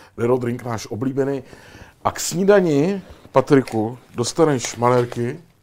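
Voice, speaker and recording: An ordinary speaking voice, this man talks at a fairly slow pace in a medium pitch with lively intonation and big swings in loudness. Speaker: talk show host. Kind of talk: interview.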